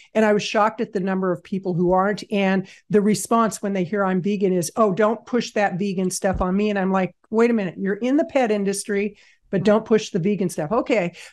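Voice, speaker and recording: Fairly quick, fairly even speech from a woman at medium pitch. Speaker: podcast host. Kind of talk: casual interview conversation. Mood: earnest, mildly indignant. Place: home room. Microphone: studio mic.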